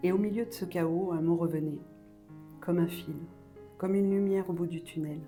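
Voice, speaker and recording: A woman at a fairly low pitch, calm in tone, with fairly even intonation and music in the background. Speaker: mother. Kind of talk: personal voice-over to viewers. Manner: calm, measured.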